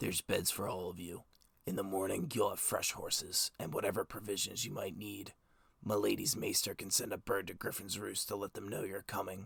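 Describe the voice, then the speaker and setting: A man speaks in a raspy, put-on character voice. His pace is fairly quick. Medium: read story. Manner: blunt, brusque.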